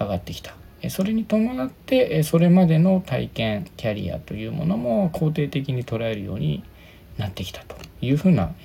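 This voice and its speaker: Relaxed in tone, a man talks at a moderate pace with big swings in loudness. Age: 30s. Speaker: career consultant and HR worker. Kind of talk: solo podcast talk. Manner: relaxed, casual.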